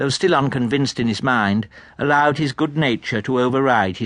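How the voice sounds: What you hear is a natural reading voice.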